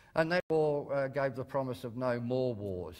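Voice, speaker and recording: In a very clean recording with a silent background, a man with an Australian accent speaks at a moderate pace. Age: 60s. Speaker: comedian. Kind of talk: lecture. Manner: halting, many ums and uhs.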